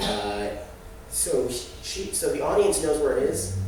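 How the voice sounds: A man at a fairly slow pace with lively intonation, in a room with audible echo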